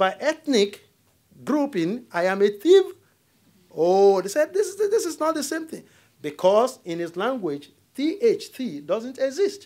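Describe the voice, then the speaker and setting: With a Nigerian accent, a man speaks at a fairly slow pace, his extremely high pitch moving in very wide swings. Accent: Nigerian (Yoruba) English. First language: Yoruba. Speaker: diplomat. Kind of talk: lecture.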